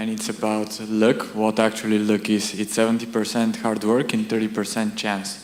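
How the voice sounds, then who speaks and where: A man with a Bulgarian accent and a fairly low pitch, with audible room echo and noticeable background noise. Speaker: audience member. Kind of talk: audience question. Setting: lecture hall with audience.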